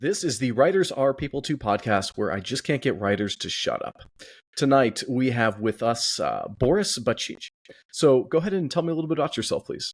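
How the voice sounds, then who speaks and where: With an American accent, a man talks at a fairly quick pace in a plain, everyday voice of medium pitch, his intonation lively. The recording is very clean, with a silent background. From California. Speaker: podcast host. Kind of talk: podcast interview.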